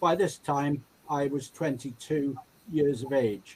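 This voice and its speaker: Speaking at a fairly slow pace, a man with an English accent has a fairly high pitch. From England. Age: 70s. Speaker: patient sharing illness story, retired nurse. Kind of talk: personal testimony.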